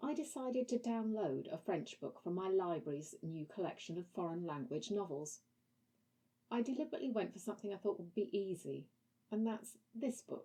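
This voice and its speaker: A woman speaks at a moderate pace and a medium pitch, somewhat breathy. Her tone is dark and mellow, with very wide pitch swings. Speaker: language learning vlogger. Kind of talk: book review with reading aloud. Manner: halting when reading French.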